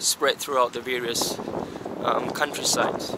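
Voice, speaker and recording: A man speaks over loud background noise, his voice dry with no echo. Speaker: travel vlogger. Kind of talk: casual vlog chat. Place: open country. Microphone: phone near.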